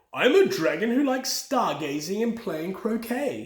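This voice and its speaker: At a moderate pace, a man performs a put-on character voice at an extremely high pitch. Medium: read story. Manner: warm, friendly.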